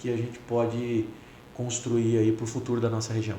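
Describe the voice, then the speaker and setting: At a moderate pace, someone speaks with a São Paulo interior accent, amid audible room echo and noticeable background noise. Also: man. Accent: rural São Paulo interior (caipira). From interior of São Paulo state (Bragança Paulista region). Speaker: federal congressman. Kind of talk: casual interview chat.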